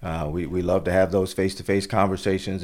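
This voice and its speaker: A man with an American accent speaks at a very deep, low pitch. His intonation is fairly even and his pace fairly quick. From Florida. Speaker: insurance agent. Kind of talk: interview. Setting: on location at office. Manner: hesitant with many fillers.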